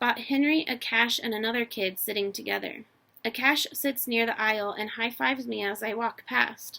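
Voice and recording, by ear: Natural-voiced reading aloud, pitch rising and falling an ordinary amount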